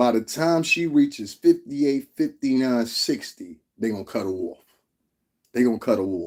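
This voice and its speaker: Lively intonation runs through this man's speech. He has a medium pitch and a moderate pace. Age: 40s. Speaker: celebrity gossip vlogger. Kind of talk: casual monologue commentary. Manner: animated.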